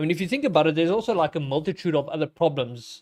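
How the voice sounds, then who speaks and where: A man with a South African accent talks at a very fast pace in a high pitch, with lively intonation. The recording is very clean, with a silent background. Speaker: game streamer. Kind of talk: live stream gameplay commentary. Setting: home. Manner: casual, thinking aloud.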